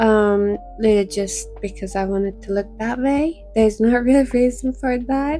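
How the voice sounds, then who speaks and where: A woman speaks at a moderate pace with a fairly high pitch while music plays in the background. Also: ordinary pitch variation, hardly any pauses. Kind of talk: tutorial narration.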